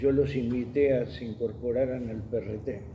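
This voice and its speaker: Medium-pitched male speech, with audible echo from the room. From Argentina, Buenos Aires. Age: 70s. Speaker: journalist and magazine editor. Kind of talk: testimony interview.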